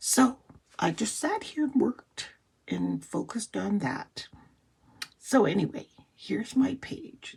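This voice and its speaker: A raspy put-on character voice, fairly high in pitch, at a fairly slow pace with long, frequent pauses. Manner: strained, halting speech.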